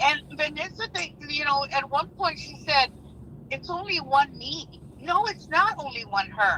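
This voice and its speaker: A woman speaks at a fairly slow pace in a high pitch, with very wide pitch swings and big swings in loudness. Noticeable background noise runs underneath. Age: 60s. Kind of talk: heated debate. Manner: animated, emphatic.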